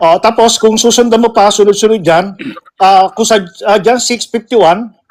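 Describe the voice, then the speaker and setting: A man speaks at a high pitch, keeping his loudness very even. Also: fairly even intonation, moderate pace. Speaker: religious apologetics streamer. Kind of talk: religious debate on live call.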